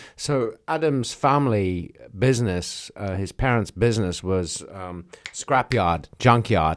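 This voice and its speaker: The pace is very slow. The intonation is lively, with big swings in loudness. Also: man, fairly low pitch for a man. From South Africa. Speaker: podcast co-host. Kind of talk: casual discussion.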